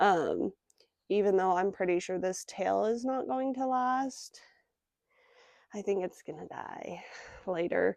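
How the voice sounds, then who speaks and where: A soft-spoken woman at a fairly slow pace, her pitch swinging very widely, in a dry, close sound with no echo. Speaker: pet product reviewer. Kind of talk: casual product review vlog. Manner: hesitant, filler-heavy. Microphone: new external microphones with phone.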